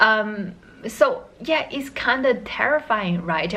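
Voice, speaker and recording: A woman's bright, sharp voice with a non-native accent, at a fairly slow pace. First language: not English. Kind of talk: casual talk to camera. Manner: hesitant, many fillers.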